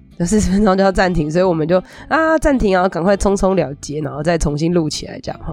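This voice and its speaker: With music in the background, a woman speaks at a very fast pace in an animated tone. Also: ordinary pitch variation. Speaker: psychologist and podcast host. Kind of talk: casual solo podcast talk.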